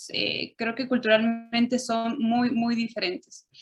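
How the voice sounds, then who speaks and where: Music plays in the background. A woman speaks at a moderate pace in a high pitch. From Chile and Mexico (left Chile at 6, raised in Mexico). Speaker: interviewee. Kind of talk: interview.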